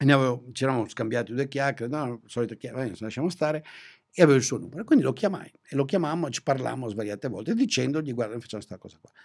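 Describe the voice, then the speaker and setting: The delivery is very fast, with lively intonation and big swings in loudness. The background is quiet. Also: man. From northern Italy, Venice area; northern Italy. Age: 60s. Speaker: economist, professor; professor. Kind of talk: long-form interview conversation. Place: studio. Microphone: studio mic.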